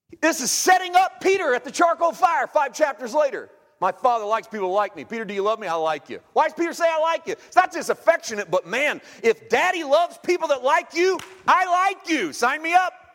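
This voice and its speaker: A man talks fairly quickly at an extremely high pitch, with very wide pitch swings. The sound is dry and close with no echo, but there is noticeable background noise. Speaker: traveling preacher. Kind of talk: sermon. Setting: church.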